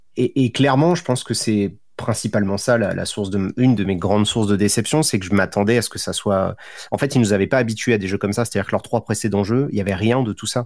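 Here a man with a fairly low pitch talks at a very fast pace. The recording is very clean, with a silent background. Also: ordinary pitch variation. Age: 30s. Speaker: youtuber and streamer. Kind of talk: casual chat.

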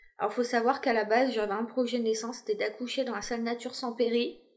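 A woman speaks at a high pitch. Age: 30s. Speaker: mother sharing her family story. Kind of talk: personal testimony interview.

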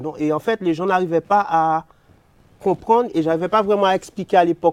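A man speaks with a high pitch. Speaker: sound system selector. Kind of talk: interview.

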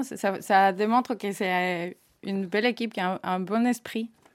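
In a very clean recording with a silent background, a woman with a Spanish accent speaks at a medium pitch with ordinary pitch variation. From Spain. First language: Spanish (speaking French). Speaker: engineering project manager. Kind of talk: corporate podcast interview.

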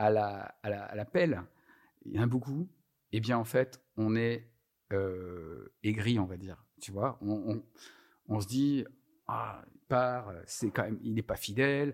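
Recorded very cleanly against a silent background, a man at a medium pitch with ordinary pitch variation takes long, frequent pauses, his loudness swinging widely. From France, Lyon. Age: 50s. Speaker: HR training coordinator. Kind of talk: casual interview. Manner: hesitant, many fillers and repetitions.

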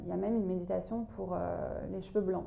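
A woman speaks with audible echo from the room. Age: 40s. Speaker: yoga teacher. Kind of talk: interview. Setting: at the host's home. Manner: halting.

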